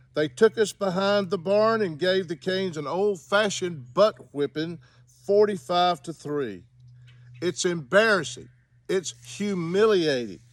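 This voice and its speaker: With lively intonation, a man speaks fairly slowly at a high pitch. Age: 70s. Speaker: sports fan commentator. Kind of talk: video commentary monologue. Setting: outdoors in a cemetery.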